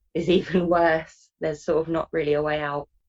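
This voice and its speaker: With a British accent, a woman talks at a moderate pace in a dry, close sound with no echo. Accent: British accent, obvious. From UK. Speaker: interview guest with a phobia. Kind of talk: interview.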